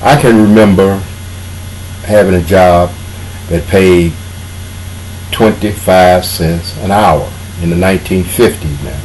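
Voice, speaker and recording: Noticeable background noise surrounds a man speaking at a fairly slow pace with a very deep, low pitch. His intonation is fairly even, with long, frequent pauses. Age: 60s. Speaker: political commentator. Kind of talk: monologue commentary. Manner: casual.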